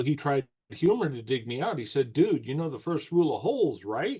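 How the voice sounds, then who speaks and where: Speaking in a somewhat breathy voice, a man keeps a moderate pace. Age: 60s. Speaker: course creator, self-help coach. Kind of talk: podcast interview.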